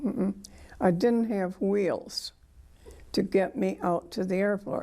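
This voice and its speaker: A woman's medium-pitched voice in a Midwestern American accent, with a dark, mellow tone, ordinary pitch variation and a very slow pace. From US Midwest, Michigan. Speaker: war veteran. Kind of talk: oral history interview. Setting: museum.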